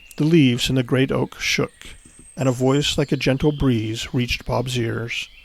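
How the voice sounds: The voice heard here is a natural reading voice.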